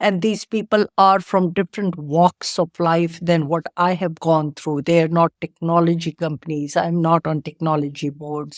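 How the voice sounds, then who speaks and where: A woman with an Indian accent speaks at a fairly low pitch and a moderate pace, with fairly even intonation and hardly any pauses, in a very clean, silent-background recording with a dry, close sound and no echo. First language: Indian language, not English. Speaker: tech entrepreneur. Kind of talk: interview.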